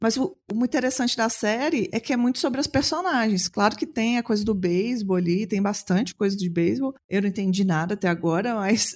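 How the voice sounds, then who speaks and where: Fairly quick, lively speech, somewhat breathy and very even in loudness, on a very clean recording with a silent background. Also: woman, fairly high pitch for a woman. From Belo Horizonte, Brazil. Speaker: podcast host. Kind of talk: casual chat.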